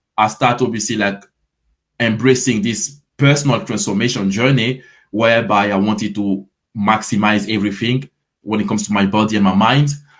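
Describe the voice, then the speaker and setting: In a French accent, a man speaks at a fairly quick pace. His pitch is fairly low and his intonation fairly even. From Ivory Coast. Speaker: fitness coach. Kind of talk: interview. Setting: live stream.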